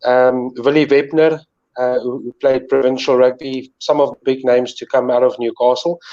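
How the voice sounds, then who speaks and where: In a South African accent, a man with a medium pitch and a dark, mellow tone speaks at a moderate pace in a monotone, flat intonation, with big swings in loudness. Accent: Afrikaans South African English. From South Africa, northern KwaZulu-Natal. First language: Afrikaans. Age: 40s. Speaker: sports presenter. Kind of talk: casual interview.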